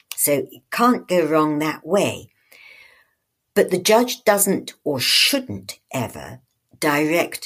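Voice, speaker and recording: A woman talks at a very slow pace in a fairly low pitch with vocal fry. Her pitch swings very widely, and her loudness swings a lot. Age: old. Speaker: retired judge and author. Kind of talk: interview.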